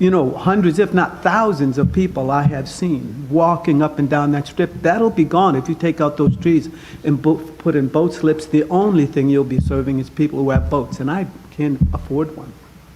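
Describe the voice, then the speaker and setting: A man's moderately paced speech shows ordinary pitch variation, with noticeable background noise behind it. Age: 70s. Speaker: public commenter at city council. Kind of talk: public comment. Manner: halting.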